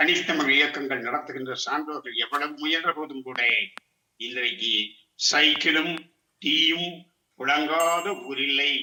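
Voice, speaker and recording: A man with a fairly high pitch and ordinary pitch variation speaks here. He has an unremarkable speaking voice. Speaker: retired teacher. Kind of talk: educational lecture to camera.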